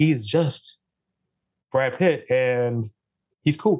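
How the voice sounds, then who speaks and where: A man speaks with an American accent. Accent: Jamaican accent, stronger after visiting home. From Brooklyn, New York, Jamaican family. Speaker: photographer, podcast guest. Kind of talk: casual chat. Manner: animated.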